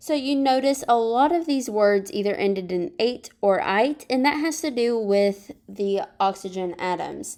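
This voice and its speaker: In an ordinary speaking voice, a woman with a fairly high pitch speaks at a fairly slow pace with lively intonation and hardly any pauses. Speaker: high school chemistry teacher. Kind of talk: recorded lesson.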